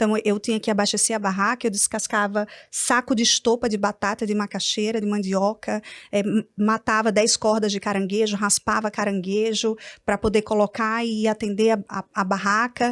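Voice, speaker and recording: On a very clean recording with a silent background, a woman speaks at a moderate pace with a fairly high pitch, very even loudness, and monotone, flat intonation in a dry, close sound with no echo. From Brazil, Natal (Rio Grande do Norte). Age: 40s. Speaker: entrepreneur and publisher. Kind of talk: testimony. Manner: calm-sounding.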